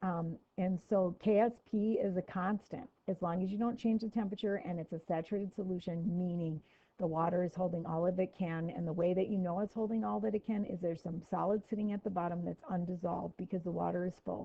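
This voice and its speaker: Hardly pausing at all, a woman at a medium pitch talks at a very fast pace. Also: ordinary pitch variation. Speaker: chemistry teacher. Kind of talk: lecture. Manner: casual.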